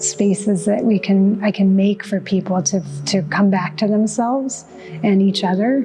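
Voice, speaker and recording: With music in the background, a soft-spoken woman talks at medium pitch with fairly even intonation. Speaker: artist. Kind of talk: interview. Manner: halting.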